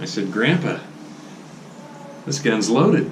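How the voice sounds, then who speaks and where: A man with an American accent, amid noticeable background noise. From Oregon, USA. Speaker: grandfather telling family stories. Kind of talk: oral history storytelling. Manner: casual, conversational.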